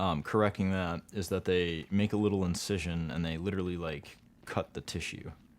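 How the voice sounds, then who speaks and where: Fairly quick in pace, a man talks with fairly even intonation. His pitch is very deep and low. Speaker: gaming streamer. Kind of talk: casual chat. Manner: many fillers, hesitant. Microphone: arm-mounted mic with new pop filter.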